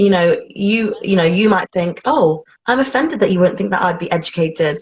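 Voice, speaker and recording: Her voice is somewhat breathy, at a medium pitch. The woman talks at a fairly quick pace with lively intonation. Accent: British. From England, Bedford. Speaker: interviewee. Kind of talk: casual interview chat.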